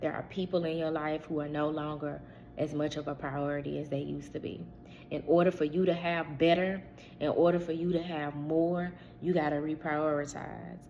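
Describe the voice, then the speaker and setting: A woman speaks at a very deep, low pitch with a dark, mellow tone. Her intonation is monotone and flat, and her pace is moderate. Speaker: spiritual channel host. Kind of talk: spiritual reading monologue. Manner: casual, conversational.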